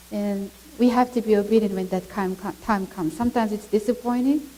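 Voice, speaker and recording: A woman with a Mongolian accent speaks with ordinary pitch variation over noticeable background noise. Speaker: missionary speaking at a church. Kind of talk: testimony. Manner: halting.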